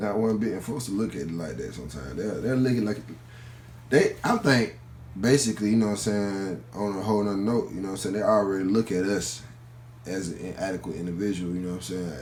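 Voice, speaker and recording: A man with a strong Atlanta accent and a fairly low pitch talks at a very fast pace. His intonation is lively, and audible room echo fills the space. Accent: Southern Atlanta accent, strong. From Atlanta, Georgia, US South. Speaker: college student. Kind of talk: interview. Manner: casual, informal with many fillers.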